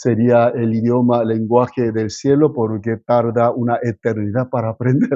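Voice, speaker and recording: The man speaks with a non-native accent and monotone, flat intonation. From South Korea, moved to Argentina at 15. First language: Korean (speaking Spanish). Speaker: pastor. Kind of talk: sermon. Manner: halting, with fillers and self-corrections.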